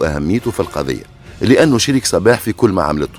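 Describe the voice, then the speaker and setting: With music in the background, a man in a Tunisian accent speaks with very wide pitch swings. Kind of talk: true crime storytelling narration. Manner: casual, conversational.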